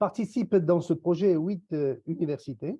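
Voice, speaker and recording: With lively intonation, the speaker delivers the words at a fairly slow pace. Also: man. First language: not English (speaks French here) (speaking French). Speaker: university researcher. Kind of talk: conference presentation. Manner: formal.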